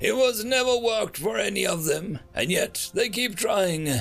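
Putting on a character voice, a man speaks fairly slowly in a high pitch with a fairly bright tone, vocal fry and lively intonation. Faint music plays in the background.

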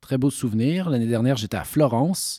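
There is lively intonation in this man's voice, which has a dark, mellow tone. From Quebec. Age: 40s. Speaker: actor. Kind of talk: interview.

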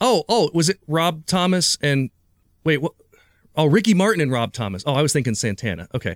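Recorded with a dry, close sound and no echo, a man speaks fairly quickly in a fairly high voice with very wide pitch swings. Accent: Midwestern American. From Ohio, US Midwest. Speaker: magician. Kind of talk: casual chat. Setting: video call.

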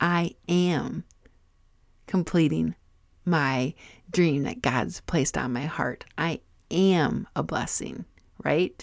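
A woman speaks with vocal fry at a very deep, low pitch and a very slow pace, with long, frequent pauses. Her pitch varies in an ordinary way, and the recording is very clean with a silent background. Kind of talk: solo faith-based podcast teaching. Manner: loud, animated.

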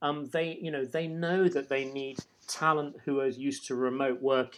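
A man with a British accent, a fairly high pitch, ordinary pitch variation and a moderate pace. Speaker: startup co-founder. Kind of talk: interview. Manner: rambling, hesitant.

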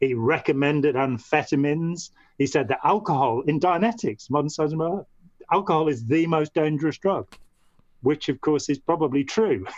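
Lively intonation marks this man's fairly high voice, in a Midlands accent. He keeps a moderate pace. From English Midlands, Staffordshire. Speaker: former cult member, writer and artist. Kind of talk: interview.

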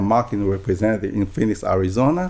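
A man with a Taiwanese accent talks with lively intonation. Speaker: real estate broker. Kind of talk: interview. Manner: halting.

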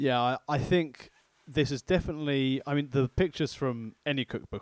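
A man speaks at a medium pitch in a southern English accent. The recording is very clean and dry, close with no echo and a silent background. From southeast England. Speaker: food podcast co-host. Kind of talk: casual chat.

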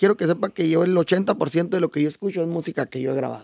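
This man's voice sits high and moves at a fairly quick pace with ordinary pitch variation. The sound is dry and close, with no echo. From Chihuahua, Mexico. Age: 40s. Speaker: norteño musician. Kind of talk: casual interview.

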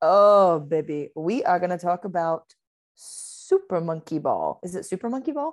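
With an American accent, the speech proceeds at a moderate pace. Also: woman, fairly low pitch for a woman, ordinary pitch variation, very clean recording, silent background. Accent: Southern accent, comes and goes. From US South, Georgia. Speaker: podcast guest. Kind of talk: casual chat.

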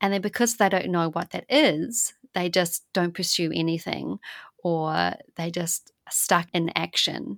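At a fairly slow pace, a woman talks with a fairly low pitch and ordinary pitch variation in an unremarkable speaking voice. The recording is very clean with a silent background. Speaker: podcast host. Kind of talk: interview.

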